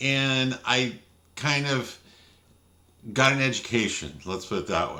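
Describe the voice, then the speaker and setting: Amid audible room echo, a man speaks in a bright, sharp tone with ordinary pitch variation. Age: 60s. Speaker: video blogger and author. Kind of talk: casual monologue. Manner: hesitant, many fillers.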